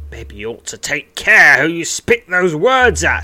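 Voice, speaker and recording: A man puts on a gruff character voice, fairly high in pitch, raised and projected. He keeps a moderate pace, with big swings in loudness. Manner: threatening.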